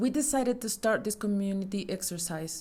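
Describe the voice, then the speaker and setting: There is audible room echo around a woman with a Mexican accent. Her pitch variation is ordinary. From Mexico. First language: Spanish. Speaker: astronomy communicator. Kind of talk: conference talk. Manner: formal.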